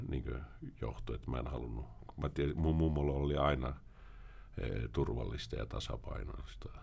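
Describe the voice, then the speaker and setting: Vocal fry runs through a man's very deep, low voice. He keeps a moderate pace, broken by long, frequent pauses. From Sweden (Finnish family, moved at age 4). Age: 40s. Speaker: former criminal turned author and prevention worker. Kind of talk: podcast interview.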